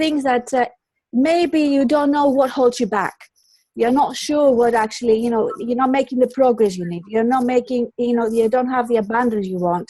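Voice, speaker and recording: With a Greek accent, a woman speaks at a moderate pace in a high, dark, mellow voice with lively intonation. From Greece. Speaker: colour psychologist. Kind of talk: interview. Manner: halting, many repetitions.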